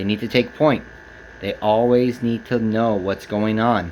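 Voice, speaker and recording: A man with an American accent at a fairly slow pace, against noticeable background noise. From Texas, San Antonio. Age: 20s. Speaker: speaker giving a personal talk. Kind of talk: prepared speech to camera. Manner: halting.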